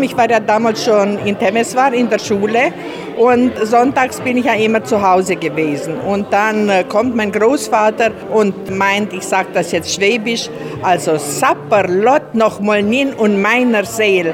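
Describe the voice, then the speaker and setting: A woman speaks fairly slowly in a fairly high pitch with ordinary pitch variation. The recording carries noticeable background noise and audible room echo. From Banat Swabian village, Romania. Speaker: journalist. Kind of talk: interview.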